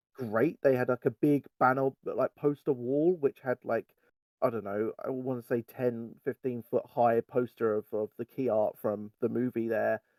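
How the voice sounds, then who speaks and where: Recorded with a dry, close sound and no echo, a man with a British accent talks in fairly even intonation. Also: medium pitch for a man, moderate pace. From England. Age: 30s. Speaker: fan site writer. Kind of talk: casual chat.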